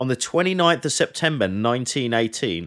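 A man with a southern English accent, very wide pitch swings, and a very clean recording with a silent background. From England, Hertfordshire. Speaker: military historian and battlefield guide. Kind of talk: casual chat.

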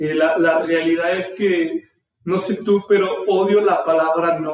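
A man with a central Mexican accent talks at a very slow pace. His pitch is high, with ordinary variation. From Mexico, Aguascalientes. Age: 20s. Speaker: podcast host, entrepreneur. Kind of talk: solo podcast monologue. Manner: casual, hesitant with fillers.

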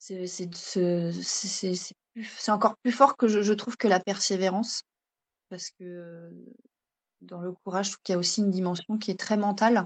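With a normal speaking voice at a medium pitch, a woman talks at a fairly slow pace, her intonation fairly even but her loudness swinging widely. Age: 30s. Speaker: stay-at-home mother and naturopathy trainee. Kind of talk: interview.

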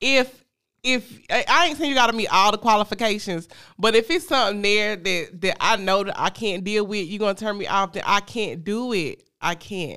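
A very clean recording with a silent background, moderate pace and a Southern US accent. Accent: Southern US, informal dialect. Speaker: podcast host. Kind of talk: casual chat.

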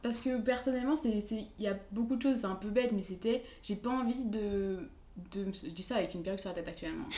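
The speech goes at a very fast pace with ordinary pitch variation and audible room echo. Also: woman, fairly high pitch for a woman. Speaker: university student. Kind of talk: casual chat.

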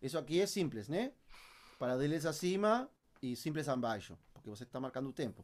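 A man with a Uruguayan accent, fairly high-pitched, with very wide pitch swings at a fairly quick pace. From Uruguay, Montevideo. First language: Spanish (speaking Portuguese). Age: 30s. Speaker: percussionist. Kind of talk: interview. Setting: home studio. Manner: halting.

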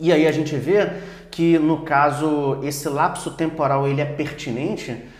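A man with a fairly high pitch and fairly even intonation is heard with audible room echo and noticeable background noise. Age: 40s. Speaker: pastor and theology teacher. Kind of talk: Bible study discussion.

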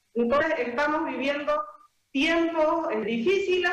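There is audible room echo as a woman speaks at a fairly slow pace with ordinary pitch variation. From Bolivia, Santa Cruz (San Ramón). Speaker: Senate candidate, teacher. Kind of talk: political interview. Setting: phone call.

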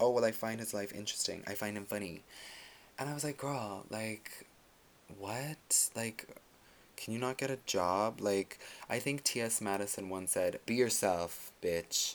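A quiet man with a medium-pitched voice speaks in an animated tone at a fairly slow pace, with ordinary pitch variation. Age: 20s. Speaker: solo podcast host. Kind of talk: casual monologue. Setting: bedroom at night. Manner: quiet, low volume.

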